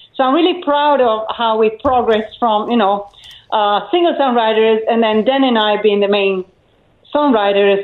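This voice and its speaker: A woman with an Italian accent at a fairly high pitch, moderate pace, ordinary pitch variation and very even loudness. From Italy, island of Elba. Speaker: rock singer and songwriter. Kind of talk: casual radio interview. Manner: hesitant, with fillers.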